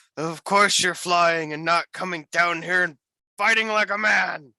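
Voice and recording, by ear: A man shouting in a high, put-on character voice at a moderate pace, with fairly even intonation and a dry, close sound with no echo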